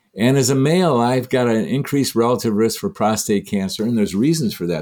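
A dark, mellow American-accented voice at a fairly quick pace with lively intonation, on a very clean recording with a silent background. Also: man. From US Midwest (Michigan). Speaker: holistic physician. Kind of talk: interview.

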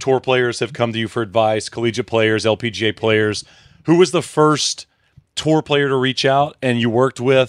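A man with a normal speaking voice and medium pitch talks at a moderate pace with ordinary pitch variation. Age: 30s. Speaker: podcast host. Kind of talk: casual chat.

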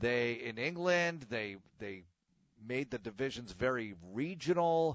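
With a plain, everyday voice at a medium pitch, a man talks at a fairly slow pace with lively intonation. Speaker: sports radio host. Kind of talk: casual solo podcast monologue. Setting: home, alone.

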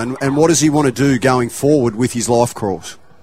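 He is a man with an Australian accent. His pitch is fairly high, with ordinary pitch variation. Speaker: radio sports pundit. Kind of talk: radio discussion.

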